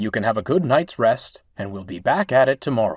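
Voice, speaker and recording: A man growls through a put-on character voice at a medium pitch and a fairly quick pace. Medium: machinima. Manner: warm, friendly.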